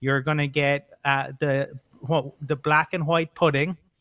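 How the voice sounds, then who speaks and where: A man with a Cork accent speaks at a fairly high pitch in a dry, close sound with no echo. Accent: Irish (Cork), sing-songy lilt. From Cork, Ireland. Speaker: co-host of an Irish American football show. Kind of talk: casual interview chat. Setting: remote call from Ireland.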